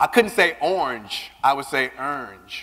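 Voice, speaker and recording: In an American accent, a man speaks in an animated tone that is bright and sharp. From US South, Louisiana. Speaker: keynote speaker, LGBT advocate. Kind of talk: keynote speech. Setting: stage with audience. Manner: animated, conversational with audience.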